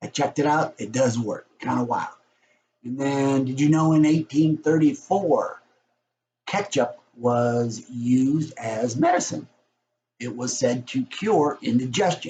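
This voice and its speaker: At a fairly slow pace, a man talks in a fairly high, somewhat breathy voice with a dark, mellow tone and ordinary pitch variation. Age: 60s. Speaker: realtor. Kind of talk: casual vlog. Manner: casual, chatty.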